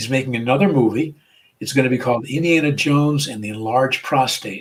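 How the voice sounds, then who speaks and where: Somewhat breathy and very fast, a man with an American accent speaks with big swings in loudness. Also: medium pitch for a man, ordinary pitch variation. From US Northeast, Providence, Rhode Island. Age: 70s. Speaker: comedian and rabbi. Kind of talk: interview. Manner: halting, many repeated words.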